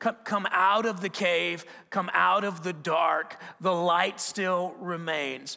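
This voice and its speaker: Over a quiet background, the voice has a bright, sharp tone and moves at a very slow pace. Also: man. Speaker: preacher. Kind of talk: sermon. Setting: church. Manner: conversational, animated, with repeated restarts and rhetorical questions. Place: church. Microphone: headset.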